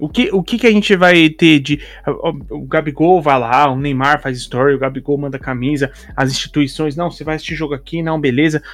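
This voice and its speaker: This man's voice sits fairly high, moving at a moderate pace with ordinary pitch variation. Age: 30s. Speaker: podcast host. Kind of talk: casual chat. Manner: halting.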